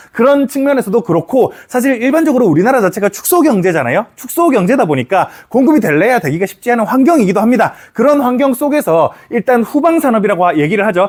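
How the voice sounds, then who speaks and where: At a very fast pace, a man with a high pitch speaks in very wide pitch swings. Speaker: economics lecturer. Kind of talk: lecture. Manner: casual, conversational.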